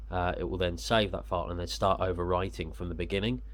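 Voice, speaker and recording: A man with a British accent, talking at a very fast pace. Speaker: action camera reviewer. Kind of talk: casual unboxing talk to camera.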